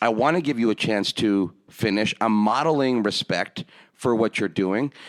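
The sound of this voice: The man's pitch is fairly low, with ordinary variation. He speaks at a moderate pace.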